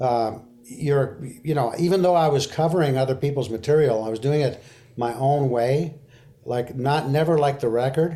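A man with a slight French Canadian accent speaks at a fairly high pitch. His tone is dark and mellow, with ordinary pitch variation. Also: moderate pace. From Quebec, Canada. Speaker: singer-songwriter and guitarist. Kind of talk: casual interview. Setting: remote call from Memphis.

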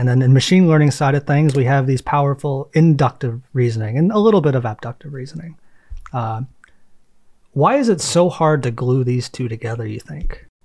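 The man sounds somewhat breathy and uses ordinary pitch variation. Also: medium pitch for a man, fairly quick pace. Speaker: podcast host. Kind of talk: interview.

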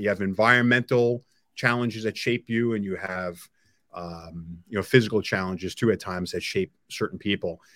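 Man with a New York accent, medium in pitch and bright and sharp in tone, at a fairly quick pace with ordinary pitch variation, recorded very cleanly, dry and close with no echo and a silent background. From Long Island, New York. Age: 50s. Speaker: technology entrepreneur. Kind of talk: interview.

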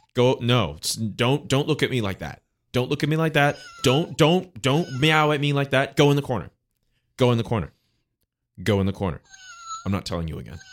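A man talks at a fairly quick pace with lively intonation. His speech has long, frequent pauses. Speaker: podcast guest. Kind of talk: casual chat.

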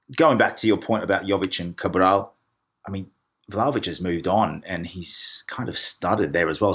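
A man with an Australian accent speaks at a very deep, low pitch and a moderate pace. His pitch variation is ordinary, on a very clean recording with a silent background. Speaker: football podcast host. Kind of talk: casual chat.

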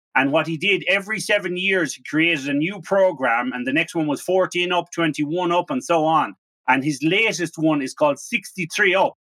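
A man with an Irish accent and a high pitch speaks at a moderate pace with hardly any pauses. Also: ordinary pitch variation. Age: 40s. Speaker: podcast host. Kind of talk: casual interview. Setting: remote call.

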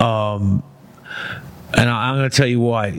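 This man speaks with a New York accent and a fairly low pitch. His intonation stays fairly even. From Brooklyn, New York. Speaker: formerly incarcerated man, entrepreneur. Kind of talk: casual chat.

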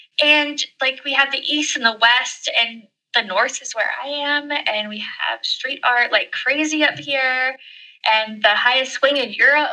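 In an American accent, a woman uses a raised, projected voice with a bright, sharp tone, high pitch, ordinary pitch variation and a fairly slow pace. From US, mountain region. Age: 30s. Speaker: travel blogger and YouTuber. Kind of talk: casual interview chat.

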